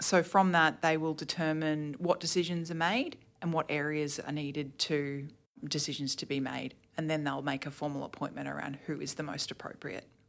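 A woman with an Australian accent and a very deep, low pitch speaks at a moderate pace with fairly even intonation in a very clean recording with a silent background. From Queensland, Australia (Toowoomba). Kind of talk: podcast interview.

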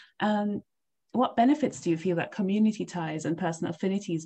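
Her tone dark and mellow, a woman speaks at a fairly quick pace with ordinary pitch variation. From East Africa. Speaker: podcast host, PhD candidate. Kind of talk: interview.

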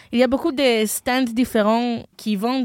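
In a very clean recording with a silent background and a dry, close sound with no echo, a woman with a fairly high pitch and an unremarkable speaking voice talks at a fairly slow pace. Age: 20s. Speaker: podcast host, international student. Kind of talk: casual chat.

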